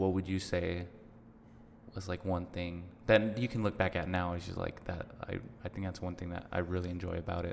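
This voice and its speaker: A man with an American accent talks at a fairly quick pace yet with long, frequent pauses. His very deep, low pitch stays in a monotone, flat intonation over noticeable background noise. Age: 20s. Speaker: podcast host. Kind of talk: casual chat. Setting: studio.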